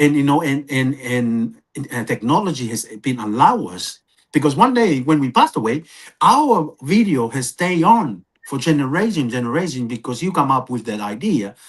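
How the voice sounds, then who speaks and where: This man's fairly high voice swings very widely in pitch while he keeps a moderate pace. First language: not English. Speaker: podcast co-presenter. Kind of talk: podcast conversation.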